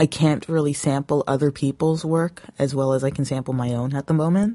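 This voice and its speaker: In a Canadian accent, a woman speaks at a moderate pace with a very deep, low pitch, ordinary pitch variation and a dark, mellow tone. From Canada, Toronto area. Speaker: music producer and podcaster. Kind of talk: casual solo monologue. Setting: handheld recorder, solo recording. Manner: hesitant, many fillers.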